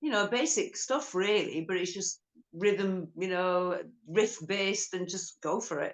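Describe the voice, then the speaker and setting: A woman speaks at a medium pitch and a fairly slow pace in a normal speaking voice. Her pitch varies in an ordinary way. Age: 50s. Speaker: rock guitarist. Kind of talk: interview. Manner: casual.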